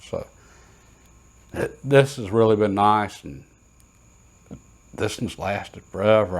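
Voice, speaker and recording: Relaxed in tone, a man with a Southern US accent speaks with lively intonation. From US South. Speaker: shooting and reloading YouTuber. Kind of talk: casual show-and-tell tutorial. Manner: relaxed, conversational with hesitations.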